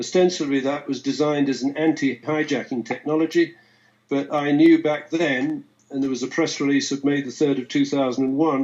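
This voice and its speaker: A man with a British accent talks at a fairly quick pace in a fairly high pitch. His intonation stays monotone and flat. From England. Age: 70s. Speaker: forensic economist. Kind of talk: interview. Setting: live stream video call.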